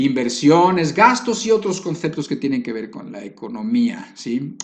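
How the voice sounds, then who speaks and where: Over audible room echo, a man speaks at a fairly slow pace with very wide pitch swings. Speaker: preacher. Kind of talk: sermon.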